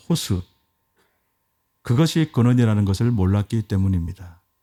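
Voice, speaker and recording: On a very clean recording with a silent background, a man speaks in a dark, mellow tone with a dry, close sound and no echo. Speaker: pastor. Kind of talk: sermon. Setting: church.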